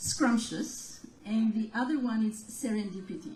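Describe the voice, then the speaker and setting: Audible room echo surrounds a woman speaking at a fairly high pitch with ordinary pitch variation. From Romania. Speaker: gallery owner. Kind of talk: interview.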